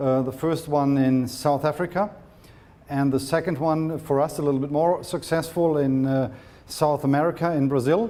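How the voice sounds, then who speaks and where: A man's fairly high pitch in a German accent, with fairly even intonation and audible room echo. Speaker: sports medicine doctor. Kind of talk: lecture. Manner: halting, with repetitions.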